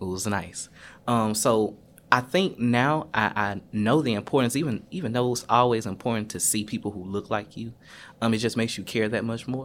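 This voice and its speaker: In a very clean recording with a silent background, a man with a plain, everyday voice speaks at a moderate pace and medium pitch, with ordinary pitch variation. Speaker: university staff member, recent graduate. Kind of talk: casual panel conversation.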